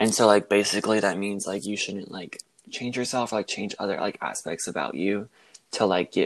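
A man talks at a fairly quick pace in a normal speaking voice. His pitch is fairly low. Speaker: college student. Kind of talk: casual interview. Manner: frequent filler 'like'.

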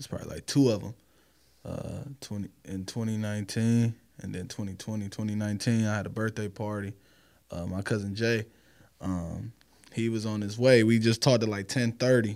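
This man has a normal speaking voice, fairly low in pitch, with fairly even intonation. He keeps a moderate pace while his loudness swings widely. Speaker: indoor football player. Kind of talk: casual chat.

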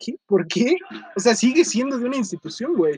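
In a Mexico City accent, a man speaks with an animated tone and very wide pitch swings, the sound dry and close with no echo. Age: young. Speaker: podcast host. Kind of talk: casual chat.

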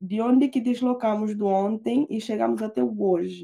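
A woman with a dark, mellow tone speaks at a fairly high pitch and moderate pace, with ordinary pitch variation. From Guinea-Bissau. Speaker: doctoral student. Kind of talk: casual chat.

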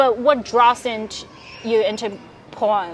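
Noticeable background noise sits behind a woman speaking at a fairly slow pace in a Chinese accent. Her pitch is fairly high, with ordinary variation. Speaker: podcast host. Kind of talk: casual interview. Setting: outdoors in a park.

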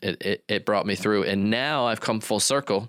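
Fairly low pitch from a man in a normal speaking voice, with ordinary pitch variation, on a very clean recording with a silent background. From western US. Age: 40s. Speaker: marketing agency owner. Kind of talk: interview.

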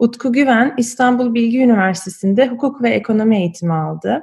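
A woman speaks at a fairly quick pace in a fairly high pitch, her dark, mellow voice somewhat breathy, with ordinary pitch variation. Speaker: podcast host. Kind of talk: interview.

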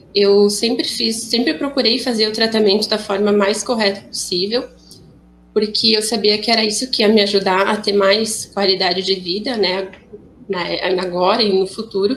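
With an unremarkable speaking voice, a woman speaks at a medium pitch and a moderate pace, her loudness very even and her intonation fairly even. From Rio Grande do Sul, Brazil. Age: 20s. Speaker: young woman with cystic fibrosis. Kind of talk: personal testimony.

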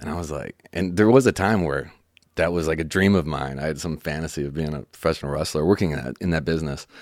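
A man speaks at a very fast pace with a very deep, low pitch and vocal fry. The recording is very clean, and the background is silent. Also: ordinary pitch variation. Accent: American. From Chicago, US Midwest. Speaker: songwriter. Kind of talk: casual chat. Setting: studio.

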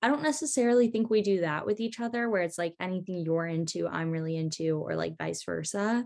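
Her pitch fairly low, a woman talks at a very fast pace with lively intonation and hardly any pauses. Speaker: college student. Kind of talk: casual chat.

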